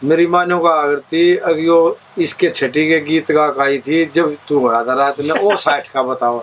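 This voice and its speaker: Over noticeable background noise, a man speaks with very even loudness, fairly even intonation and hardly any pauses. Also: fairly high pitch for a man. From Haryana, India. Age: 50s. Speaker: folk singer. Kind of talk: interview.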